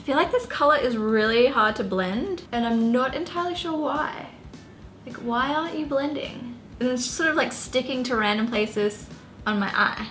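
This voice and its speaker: Over music in the background, a woman with a high pitch talks at a moderate pace with ordinary pitch variation. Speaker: beauty youtuber. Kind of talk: tutorial. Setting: home apartment. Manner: casual, chatty.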